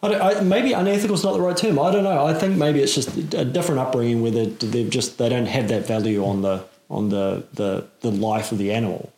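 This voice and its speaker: A man's fairly quick, medium-pitched talk with very wide pitch swings and hardly any pauses, over noticeable background noise. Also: very even loudness. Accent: New Zealand. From New Zealand, Auckland. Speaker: podcast host and hunting course instructor. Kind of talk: casual interview chat.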